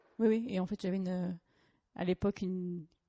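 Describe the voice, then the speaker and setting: Her voice fairly low, a woman talks at a fairly quick pace with fairly even intonation in a dry, close sound with no echo. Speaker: lawyer. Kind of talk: podcast interview. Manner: hesitant, searching for words.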